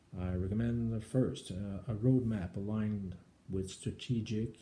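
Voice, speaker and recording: A man's somewhat breathy, dark and mellow voice with a strong French Canadian accent, fairly slow in pace and fairly even in intonation. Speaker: government IT executive. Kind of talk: speech proposal presentation. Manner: halting, frequent uh fillers.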